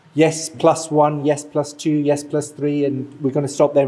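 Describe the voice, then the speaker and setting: A man at a moderate pace, fairly high in pitch, over noticeable background noise. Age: 40s. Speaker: community event organizer. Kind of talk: announcements.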